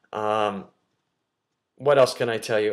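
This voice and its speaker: With an American accent, a man talks using ordinary pitch variation. The background is silent on this very clean recording. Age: 50s. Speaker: nutrition coach. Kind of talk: casual talk to camera. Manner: halting, many fillers.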